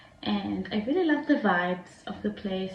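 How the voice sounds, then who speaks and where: A woman of medium pitch at a moderate pace, with noticeable background noise and audible room echo. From Israel. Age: 20s. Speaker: vlogger, foreign student. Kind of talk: casual vlog monologue. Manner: hesitant, many fillers.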